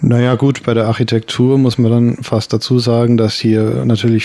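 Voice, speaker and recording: A man speaks with fairly even intonation. Noticeable background noise runs beneath his voice. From Bavaria, Germany (Regensburg). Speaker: sinologist. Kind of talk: interview. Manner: halting.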